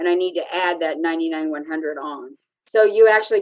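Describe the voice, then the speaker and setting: A woman with an ordinary speaking voice talks at a fairly quick pace. Her pitch is fairly low with ordinary variation. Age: 60s. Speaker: anesthesia billing and coding expert. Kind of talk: interview.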